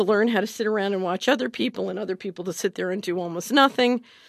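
A woman with an American accent and an unremarkable speaking voice talks at a fairly quick pace in a dry, close sound with no echo. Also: quiet background. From Philadelphia, US. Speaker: investment adviser and former government official. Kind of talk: interview.

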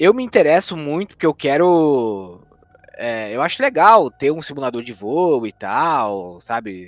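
This man has a fairly high pitch and speaks at a fairly slow pace, with very wide pitch swings and big swings in loudness. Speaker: gaming podcast co-host. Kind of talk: casual chat.

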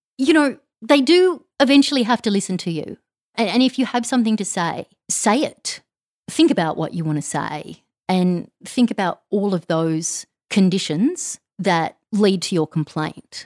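Very wide pitch swings mark a woman's voice with an Australian accent, captured in a very clean recording with a silent background and a dry, close sound with no echo. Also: medium pitch for a woman, moderate pace. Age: 40s. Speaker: podcast host. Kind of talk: casual monologue. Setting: home recording.

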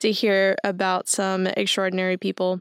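A woman speaks at a moderate pace, her voice dry and close with no echo. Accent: American. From East Texas. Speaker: podcast host, mechanical engineer. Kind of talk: solo podcast intro monologue. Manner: casual, frequent filler words.

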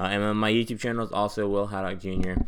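A male voice, fairly low in pitch, moves along at a fairly quick pace. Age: 20s. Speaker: aspiring YouTuber, college student. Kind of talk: solo podcast monologue. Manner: casual, filler-heavy.

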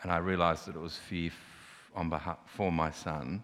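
A man with an Australian accent at a very deep, low pitch and moderate pace, on a very clean recording with a silent background. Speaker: artist. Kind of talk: panel discussion on stage. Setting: stage with audience.

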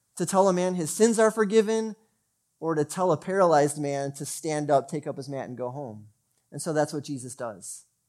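Speaking with an unremarkable speaking voice, a man talks at a fairly quick pace and a fairly high pitch, with lively intonation and big swings in loudness. The recording is very clean, with a silent background. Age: 40s. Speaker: pastor. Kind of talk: sermon.

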